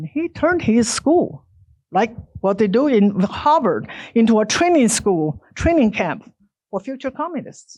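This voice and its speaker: A woman with a Chinese accent and very wide pitch swings, over a quiet background. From China. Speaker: author and speaker. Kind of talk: public lecture.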